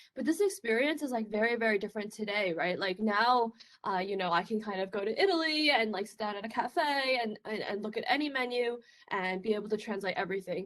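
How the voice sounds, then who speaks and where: Over noticeable background noise, a woman talks at a very fast pace with a fairly high pitch, ordinary pitch variation and big swings in loudness. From China. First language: Chinese. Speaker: research scientist. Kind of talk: conference talk. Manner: casual, filler-heavy.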